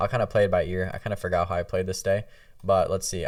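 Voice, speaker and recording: In a very clean recording over a silent background, a man is speaking. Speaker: trading educator. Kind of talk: tutorial. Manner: fast; casual.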